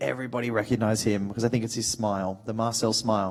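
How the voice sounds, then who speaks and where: A man talks at a very fast pace. He has an Australian accent. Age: 30s. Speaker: actor. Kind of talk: panel talk. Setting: stage with audience. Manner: animated.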